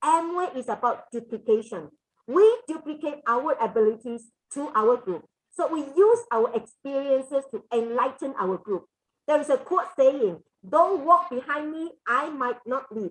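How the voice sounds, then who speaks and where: Her high voice swinging very widely in pitch, a woman speaks at a moderate pace. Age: 60s. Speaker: direct sales business leader. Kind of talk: motivational talk. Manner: halting with fillers.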